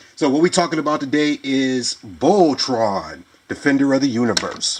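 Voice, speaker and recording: Lively intonation marks this man's speech. Noticeable background noise can be heard. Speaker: toy reviewer. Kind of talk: casual video review. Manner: hesitant, many fillers.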